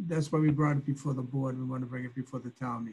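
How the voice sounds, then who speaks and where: This man's fairly high voice carries a dark, mellow tone and sounds somewhat breathy. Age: 70s. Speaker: property owner, applicant. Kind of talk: public meeting remarks. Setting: video call. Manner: halting, many fillers and repeats.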